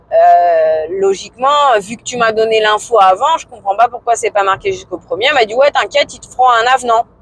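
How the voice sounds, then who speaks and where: A woman talks at a fairly quick pace and fairly high pitch, with lively intonation and hardly any pauses. Her loudness swings widely, and noticeable background noise is present. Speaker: vlogger. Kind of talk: casual vlog monologue. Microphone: filmed without external mic.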